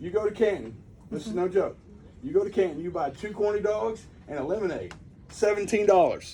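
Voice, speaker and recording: In an animated tone, a man speaks high and at a fairly quick pace with ordinary pitch variation, broken by long, frequent pauses. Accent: Texan. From East Texas. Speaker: rancher speaking at public meeting. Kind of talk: public comment at meeting.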